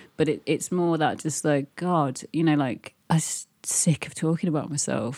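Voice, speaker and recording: Very deep and low in pitch, a woman's voice with vocal fry moves at a moderate pace with fairly even intonation, on a very clean recording with a silent background and a dry, close sound with no echo. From Birmingham, England. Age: 30s. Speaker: fashion director and teacher. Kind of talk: casual interview. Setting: her apartment.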